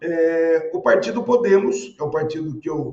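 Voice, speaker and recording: Moving at a moderate pace, a man with a high pitch speaks with ordinary pitch variation. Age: 60s. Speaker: city housing secretary, politician. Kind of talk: interview. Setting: remote interview. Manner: formal; hesitant fillers.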